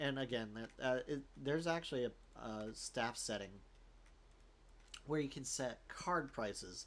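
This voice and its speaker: With a slight Southern US accent, a man speaks at a fairly slow pace, showing vocal fry and ordinary pitch variation. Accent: slight Southern tinge. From US South, Florida. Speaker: gaming YouTuber. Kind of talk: gameplay commentary. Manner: casual, halting with fillers.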